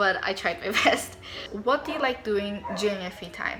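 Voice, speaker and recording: A woman speaks with a fairly high pitch and ordinary pitch variation. Noticeable background noise can be heard behind her. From Philippines. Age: 20s. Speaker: YouTuber and fanfiction writer. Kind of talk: casual Q&A chat.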